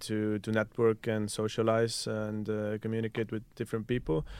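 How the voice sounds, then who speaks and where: A man is speaking. He has an Estonian accent. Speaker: student council head. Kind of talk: casual chat. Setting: studio. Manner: hesitant, many fillers.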